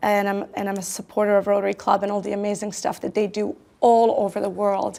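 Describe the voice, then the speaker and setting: A woman speaks with a Croatian accent. Her pitch sits in the medium range. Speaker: tech company founder and CEO. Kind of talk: interview.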